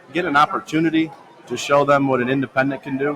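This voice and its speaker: A fairly high-pitched man talks fairly quickly while noticeable noise runs in the background. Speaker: independent auction owner and auctioneer. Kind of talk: casual conversational podcast talk.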